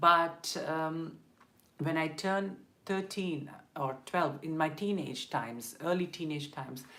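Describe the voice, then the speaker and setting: A woman's very deep, low voice in a Tamil accent, bright and sharp in tone, with ordinary pitch variation, a fairly slow pace and audible room echo. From South India (Madurai, Tamil Nadu). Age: 20s. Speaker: LGBTQ rights activist and vlogger. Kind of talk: personal testimony on a live stream. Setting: live stream. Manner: hesitant, many fillers.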